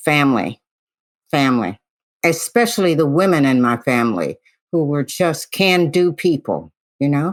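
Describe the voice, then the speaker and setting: With an American accent and a very deep, low pitch, a woman speaks at a moderate pace with very even loudness and long, frequent pauses, the sound dry and close with no echo on a very clean recording with a silent background. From US Midwest, Detroit. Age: 80s+. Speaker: physician. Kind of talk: interview.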